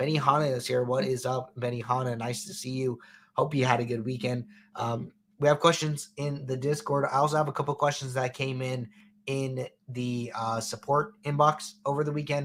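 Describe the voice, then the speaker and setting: At a moderate pace, a man talks with medium pitch, fairly even intonation and a somewhat breathy quality. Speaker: fantasy sports coach and show host. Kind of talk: live-stream Q&A show. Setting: live stream. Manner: low energy.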